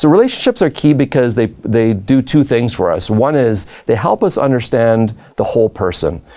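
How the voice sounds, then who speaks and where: A man with a Canadian accent speaks in a medium pitch with a dark, mellow tone and ordinary pitch variation. His pace is moderate, with hardly any pauses and very even loudness. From Southern Ontario, Canada. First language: not English. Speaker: education professor. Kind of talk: lecture.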